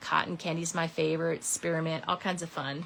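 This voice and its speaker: An ordinary speaking voice, a woman's, fairly low-pitched at a moderate pace. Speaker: papercraft demonstrator. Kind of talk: crafting tutorial. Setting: live stream. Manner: casual, chatty.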